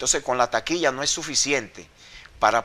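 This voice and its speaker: His tone is bright and sharp. This man's pitch variation is ordinary. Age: 50s. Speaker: former wrestler. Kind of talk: interview.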